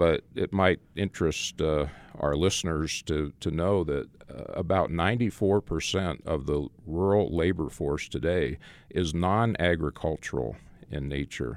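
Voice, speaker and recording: With vocal fry and ordinary pitch variation, a man with an American accent speaks in a very deep, low pitch on a very clean recording with a silent background. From Arizona, US (Phoenix). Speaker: rural church ministry director and author. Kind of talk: interview.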